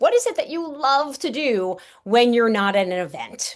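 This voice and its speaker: Lively intonation marks this woman's speech. She has a slight New York accent. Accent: Staten Island New York, slight. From New York, Staten Island. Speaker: networking coach. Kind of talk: webinar presentation. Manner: animated.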